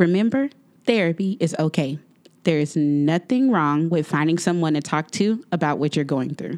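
A woman with an American accent and a plain, everyday voice speaks at a moderate pace in a fairly low pitch with lively intonation, on a very clean recording with a silent background. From Texas, Waco. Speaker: podcast host. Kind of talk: scripted advice segment; interview.

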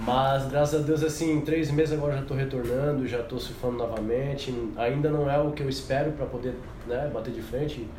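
With audible room echo and noticeable background noise, a man talks in a monotone, flat intonation at a fairly high pitch. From Paraná, Brazil. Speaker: professional surfer and company employee. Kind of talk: casual chat.

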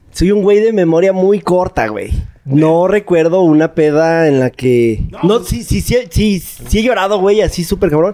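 Over noticeable background noise, a man with a Mexican accent talks fairly slowly at a high pitch, with lively intonation. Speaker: podcast guest. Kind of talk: casual chat.

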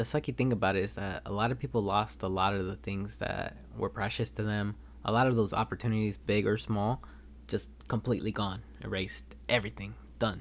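With a Californian accent, a man talks fairly quickly at a fairly low pitch, his voice swinging very widely in pitch and showing vocal fry, on a very clean recording with a silent background. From Los Angeles, California. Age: 20s. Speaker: podcast host, college student. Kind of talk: solo podcast monologue.

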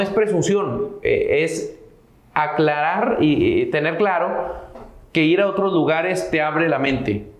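A man at a fairly slow pace, with ordinary pitch variation and audible room echo. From northern Mexico (Sierra de Santiago, Nuevo León). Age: 30s. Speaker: entrepreneur in recycling and real estate. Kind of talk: interview.

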